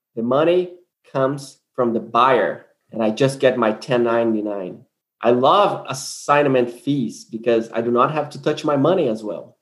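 With a Brazilian accent, a man speaks fairly slowly at a medium pitch with ordinary pitch variation. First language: Portuguese. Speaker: land investor. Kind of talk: casual interview.

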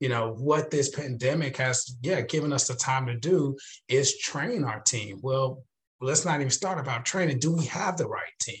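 Somewhat breathy and enthusiastic, a man speaks at a fairly high pitch and moderate pace with ordinary pitch variation. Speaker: chamber of commerce executive. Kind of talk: panel discussion. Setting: video call.

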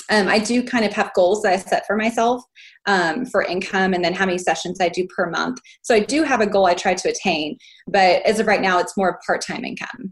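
A woman with an American accent has a plain, everyday voice, a medium pitch, and ordinary pitch variation, talking at a fairly quick pace on a very clean recording with a silent background. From Texas. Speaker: family photographer. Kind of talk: group coaching call.

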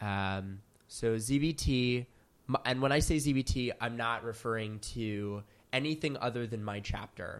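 A man's medium-pitched voice with ordinary pitch variation and an American accent. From US, Philadelphia, Pennsylvania. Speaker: college student. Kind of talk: interview.

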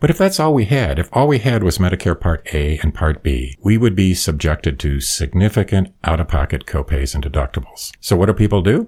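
On a very clean recording with a silent background, a man with an American accent talks at a fairly quick pace with hardly any pauses, his very deep, low voice showing vocal fry, very wide pitch swings and very even loudness. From US Midwest. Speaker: retired lawyer and Medicare expert. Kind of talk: interview explaining Medicare.

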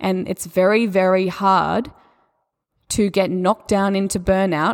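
Recorded very cleanly against a silent background, a woman with an Australian accent speaks at a medium pitch in a monotone, flat intonation. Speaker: yoga teacher and spirituality coach. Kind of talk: solo podcast talk on spirituality and yoga. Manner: warm, gentle, encouraging.

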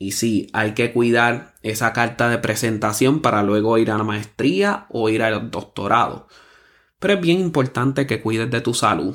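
On a very clean recording with a silent background, a man speaks fairly slowly at a medium pitch with ordinary pitch variation in a plain, everyday voice. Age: 30s. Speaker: podcast host, musician. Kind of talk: motivational monologue.

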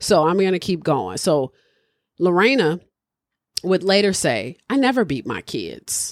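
A woman with vocal fry talks fairly slowly in an animated tone at a fairly low pitch, her voice swinging very widely in pitch, with long, frequent pauses. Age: 30s. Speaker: podcast host. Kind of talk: casual chat.

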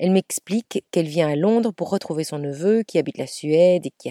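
A woman's dark, mellow voice moves at a moderate pace with lively intonation in a dry, close sound with no echo. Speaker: podcast storyteller. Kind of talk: storytelling narration.

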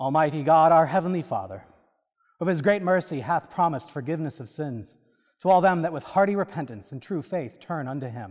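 A man's ordinary speaking voice, fairly high with lively intonation and a fairly quick pace, against a quiet background. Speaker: priest celebrant and preacher. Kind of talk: Anglican liturgy and sermon, prayers read aloud. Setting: church. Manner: solemn, reverent, fervent intercessory prayer in a measured liturgical cadence.

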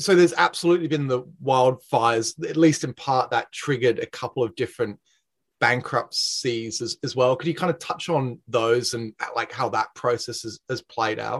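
Somewhat breathy speech in an Australian accent, at a moderate pace with ordinary pitch variation, in a dry, close sound with no echo. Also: man, medium pitch for a man. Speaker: podcast host, energy consultancy director. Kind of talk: interview.

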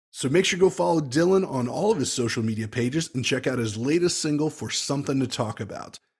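Somewhat breathy, a man speaks at a very fast pace with medium pitch and ordinary pitch variation. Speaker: podcast host. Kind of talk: interview intro and chat.

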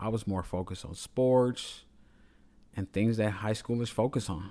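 With ordinary pitch variation, the dark, mellow tone comes through on a very clean recording with a silent background. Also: man. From Chicago, South Side. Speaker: podcast host, sales rep. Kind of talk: solo personal storytelling monologue.

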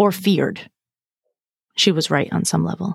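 With an American accent and vocal fry, a woman speaks at a fairly slow pace in a medium pitch, in a dry, close sound with no echo. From Massachusetts. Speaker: burnout coach and speaker. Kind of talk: interview conversation. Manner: direct, straight-talking.

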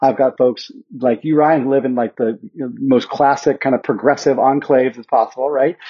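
The speaker has a Mountain West accent and talks at a fairly quick pace with fairly even intonation. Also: man, medium pitch for a man. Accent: American, Mountain West. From Montana. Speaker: nonprofit founder and trainer. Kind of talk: interview.

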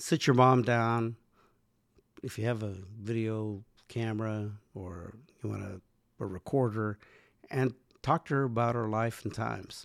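A man of medium pitch talks at a fairly slow pace with long, frequent pauses, big swings in loudness and fairly even intonation, on a very clean recording with a silent background. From US, Mexican-American family. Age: 60s. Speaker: podcast co-host. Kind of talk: casual chat.

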